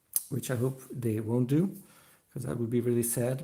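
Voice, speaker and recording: The man speaks in a dark, mellow tone. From Belgium. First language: not English. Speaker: diecast collector youtuber. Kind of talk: live stream chat. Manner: halting, many fillers.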